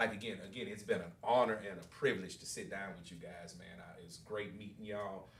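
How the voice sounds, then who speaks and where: Fairly low in pitch, a man talks with hardly any pauses, fairly even intonation and big swings in loudness, amid noticeable background noise and audible room echo. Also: fairly quick pace. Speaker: podcast host. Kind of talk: casual interview.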